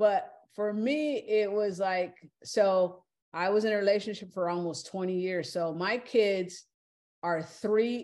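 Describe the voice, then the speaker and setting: In an American accent, a woman with a medium pitch speaks at a very slow pace with ordinary pitch variation over a quiet background. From California. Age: 60s. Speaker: interview guest, half of a married couple. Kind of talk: casual chat.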